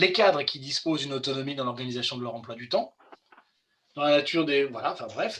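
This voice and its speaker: Speaking at a fairly quick pace, a man delivers the lines. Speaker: employment law expert. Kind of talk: webinar presentation. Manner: fast.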